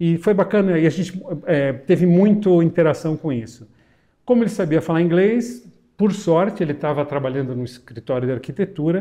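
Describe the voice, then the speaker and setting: At a moderate pace, a man talks in a high pitch with a dark, mellow tone and lively intonation. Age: 60s. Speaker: pulmonologist. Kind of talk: interview.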